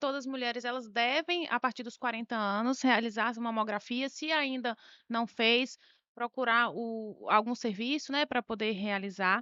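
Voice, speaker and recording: A woman with a high pitch and a bright, sharp tone is captured with a dry, close sound and no echo. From Bahia, Brazil. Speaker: doctor, breast specialist. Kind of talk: health interview.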